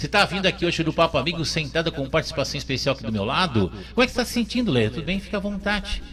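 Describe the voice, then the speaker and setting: A man speaks at a very fast pace with hardly any pauses. Noticeable background noise runs behind him. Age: 60s. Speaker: radio host. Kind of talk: talk show. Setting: radio studio. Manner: animated; halting.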